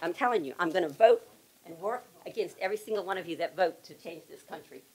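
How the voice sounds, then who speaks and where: A woman talks at a very fast pace, her loudness swinging widely while her pitch varies in an ordinary way. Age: 70s. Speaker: retired government worker, public commenter; public commenter. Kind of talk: public comment speech. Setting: public meeting. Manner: animated.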